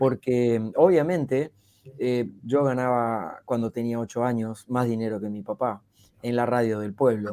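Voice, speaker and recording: Speaking in a Rioplatense accent, a man keeps a medium pitch with ordinary pitch variation. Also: fairly slow pace. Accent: Argentine Spanish (rioplatense, voseo). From Argentina. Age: 60s. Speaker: public speaking coach and speaker. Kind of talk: podcast interview.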